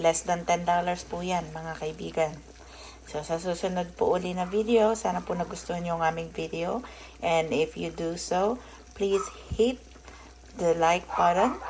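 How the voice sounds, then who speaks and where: A woman keeps a moderate pace while noticeable background noise carries on. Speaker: vlogger and homemaker. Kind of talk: cooking vlog. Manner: casual, chatty.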